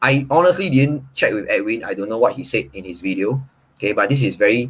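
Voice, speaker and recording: A somewhat breathy man with a Singaporean accent, at a fairly quick pace. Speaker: property agent.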